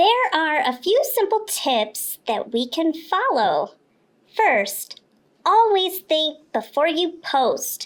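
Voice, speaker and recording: This is a cartoonish character voice from a woman, extremely high in pitch. She goes at a very slow pace with very wide pitch swings. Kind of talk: kids' educational podcast explanation. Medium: puppet.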